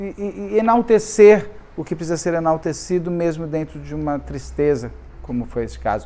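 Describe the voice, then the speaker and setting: Someone speaks at a fairly slow pace against noticeable background noise. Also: man. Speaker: true crime youtuber. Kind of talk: casual monologue. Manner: halting.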